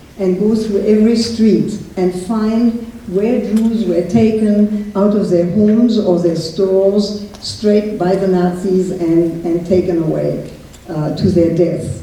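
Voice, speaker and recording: A woman with a German accent speaks at a very slow pace in a medium pitch with fairly even intonation. Audible room echo and noticeable background noise fill the recording. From France. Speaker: Holocaust survivor. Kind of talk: testimony. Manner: halting.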